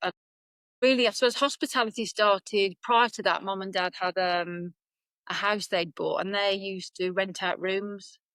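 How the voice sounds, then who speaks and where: A woman's medium-pitched voice with a Birmingham accent and ordinary pitch variation, in a dry, close sound with no echo. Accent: Birmingham (Brummie). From Birmingham, England. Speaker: business coach and consultant. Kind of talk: podcast interview.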